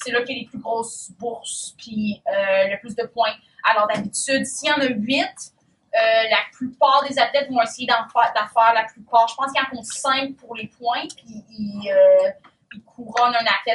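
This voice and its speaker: Fairly slow and fairly even in intonation, a woman with a Quebec accent speaks at a fairly high pitch with big swings in loudness. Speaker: triathlete. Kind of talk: casual talk to young athletes. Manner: halting, many fillers.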